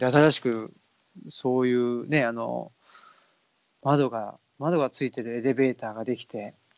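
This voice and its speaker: A man speaks in a normal speaking voice at a medium pitch. His pace is fairly slow. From Saitama, Japan (born Tokyo). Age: 30s. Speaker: podcast host. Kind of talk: casual chat. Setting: Skype call.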